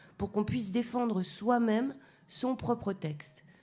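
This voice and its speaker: A woman's very slow, somewhat breathy voice, fairly high in pitch, with a dark, mellow tone. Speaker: slam poet. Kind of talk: radio interview answer.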